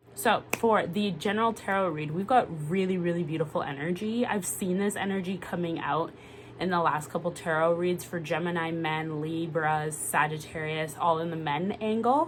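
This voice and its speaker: A woman with a fairly low pitch and a North American accent speaks at a moderate pace with hardly any pauses. Her pitch variation is ordinary, and there is noticeable background noise. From Canada. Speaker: tarot reader. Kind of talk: casual monologue.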